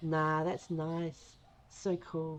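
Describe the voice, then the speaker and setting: This is a woman with an Australian accent. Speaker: gaming streamer. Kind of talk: casual live stream chat. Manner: casual, rambling with fillers.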